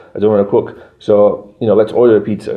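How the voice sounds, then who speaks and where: Someone talks at a very fast pace with a Yorkshire accent. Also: man. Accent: Yorkshire-sounding English. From Brazil. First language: Portuguese. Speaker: English teacher. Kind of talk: casual educational monologue. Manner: conversational, repetitive.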